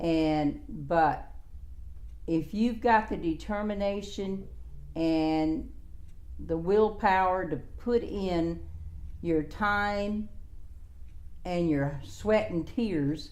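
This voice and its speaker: A woman with an American accent speaks at a very slow pace with long, frequent pauses. Her medium-pitched voice shows ordinary pitch variation, and audible room echo surrounds it. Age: 70s. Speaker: former care home owner and author. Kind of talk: interview. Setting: at her home.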